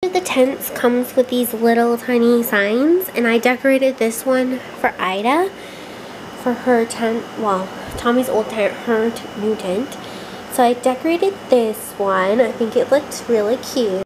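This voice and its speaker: Against noticeable background noise, a woman speaks at a fairly slow pace in a high pitch with ordinary pitch variation. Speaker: home vlogger. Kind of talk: casual vlog chat. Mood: cheerful, laughing. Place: home room. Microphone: phone near.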